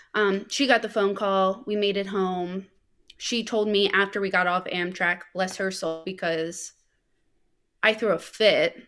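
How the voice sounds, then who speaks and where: A woman with a plain, everyday voice speaks at a fairly slow pace, her pitch medium and her intonation fairly even. The recording is very clean, with a silent background. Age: 30s. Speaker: guest sharing grief story. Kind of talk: casual interview chat.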